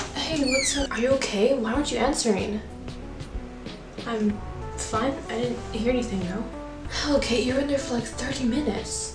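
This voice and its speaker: Clear music plays in the background as the speaker moves at a moderate pace, with long, frequent pauses. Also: woman. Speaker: amateur filmmaker and actor. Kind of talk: horror short film dialogue. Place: home room.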